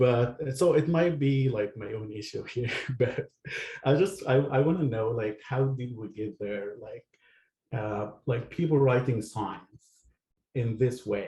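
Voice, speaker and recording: A man with a medium pitch and a dark, mellow tone speaks at a fairly slow pace, somewhat breathy. His pitch varies in an ordinary way while his loudness swings widely. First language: not English. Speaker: audience member asking a question. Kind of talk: audience question. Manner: halting.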